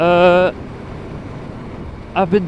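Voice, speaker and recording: With a Dutch accent and a high pitch, a man speaks at a very slow pace over noticeable background noise. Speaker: motovlogger. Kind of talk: casual vlog monologue while riding. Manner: halting, many fillers.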